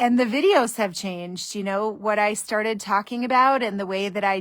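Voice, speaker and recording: At a moderate pace, a woman speaks at a medium pitch with fairly even intonation, on a very clean recording with a silent background. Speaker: divorce mediator. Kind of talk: casual monologue on a Facebook live video. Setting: Facebook live stream. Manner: loud.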